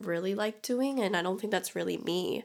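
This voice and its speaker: There is vocal fry in this woman's voice, with ordinary pitch variation. The recording is very clean, with a silent background. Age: 20s. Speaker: podcast co-host. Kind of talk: casual chat.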